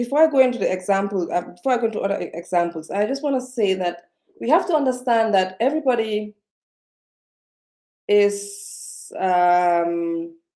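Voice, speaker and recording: Her tone dark and mellow, a woman speaks at medium pitch with lively intonation. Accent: non-native. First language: not English. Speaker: self-development vlogger. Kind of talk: live-stream motivational talk. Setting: live video stream. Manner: slowed down, speaking carefully; halting, many fillers and repetitions.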